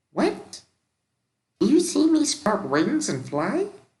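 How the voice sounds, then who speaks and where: In a put-on character voice, a whiny, high-pitched speaker goes at a fairly slow pace. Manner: petulant, complaining.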